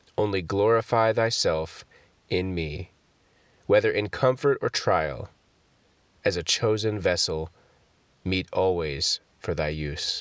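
A man speaks in a solemn tone at a very slow pace with long, frequent pauses, on a very clean recording with a silent background. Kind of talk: fervent prayer read aloud from a Puritan devotional collection. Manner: solemn, reverent, earnest devotional cadence.

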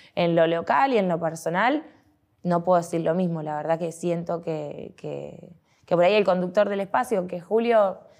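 The woman's voice sits fairly low in pitch as she talks at a moderate pace over a quiet background. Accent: Argentine. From Argentina, Olavarría (Buenos Aires province). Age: 30s. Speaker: politician, provincial deputy candidate. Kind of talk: interview. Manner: halting, with frequent fillers and repetitions.

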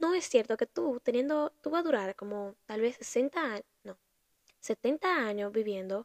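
The woman's voice is high-pitched, with lively intonation and a fairly slow pace. The sound is dry and close, with no echo. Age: 20s. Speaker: podcast host, university student. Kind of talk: casual monologue.

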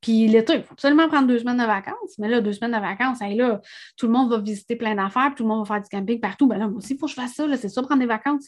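Very fast, fairly high-pitched speech from a woman with a Quebec accent, ordinary pitch variation and a quiet background. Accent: Québécois French. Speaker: podcast host, energy and spirituality coach. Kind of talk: solo podcast monologue. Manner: hesitant, many fillers and repetitions.

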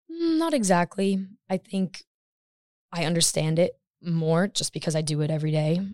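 Speaking with an American accent, a woman uses a fairly low pitch and fairly even intonation at a moderate pace with long, frequent pauses, in a dry, close sound with no echo. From US Midwest, Michigan. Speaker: urban planning student. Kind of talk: casual interview. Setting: podcast studio.

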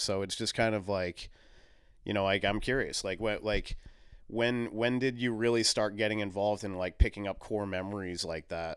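In an American accent, a man with a plain, everyday voice speaks at a fairly low pitch and with fairly even intonation on a very clean recording with a silent background. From US Northeast, southern Maine. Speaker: podcast host. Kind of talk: casual interview chat.

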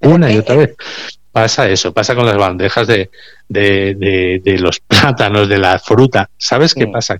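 At a fairly slow pace, a man speaks in a normal speaking voice, fairly low in pitch with ordinary pitch variation. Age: 50s. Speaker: recycling business owner. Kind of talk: radio interview.

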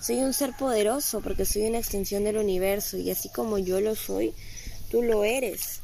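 A woman with a fairly high pitch speaks at a moderate pace and very even loudness, with audible room echo. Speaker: spiritual guide and podcast host. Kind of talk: motivational spiritual monologue. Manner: calm, serene.

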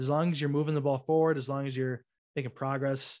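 Over a quiet background, a man talks at a very fast pace. His pitch is fairly high and his intonation fairly even. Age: 20s. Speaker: podcast host. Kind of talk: casual chat.

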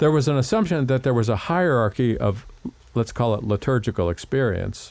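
A man with an American accent, medium in pitch, with a dark, mellow tone and lively intonation. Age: 60s. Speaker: radio host and church music director. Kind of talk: interview. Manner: halting, hesitant.

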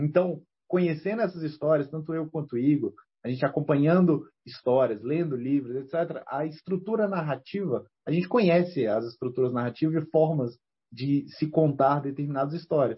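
The man's voice is fairly high in pitch and somewhat breathy. His pitch varies in an ordinary way. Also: moderate pace. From Brazil, Federal District (Ceilândia, Brasília). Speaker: comic book writer and teacher. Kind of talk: casual interview.

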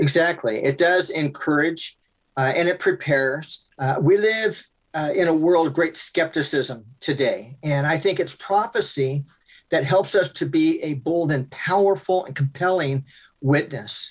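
A man speaks at a fairly slow pace with a fairly high pitch, ordinary pitch variation and an unremarkable speaking voice. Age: 60s. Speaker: pastor. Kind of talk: interview.

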